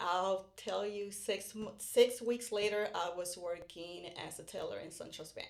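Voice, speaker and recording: A woman with a Puerto Rican accent talks at a fairly slow pace with hardly any pauses, a medium pitch and fairly even intonation. Her loudness swings widely over noticeable background noise. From Puerto Rico. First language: Spanish. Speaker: real estate podcast host. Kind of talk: casual chat.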